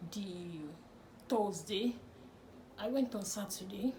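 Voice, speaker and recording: A woman of medium pitch with a Nigerian accent speaks at a moderate pace with fairly even intonation, amid noticeable background noise and audible room echo. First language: Nigerian language, not English. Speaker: lifestyle vlogger. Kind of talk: personal storytelling vlog.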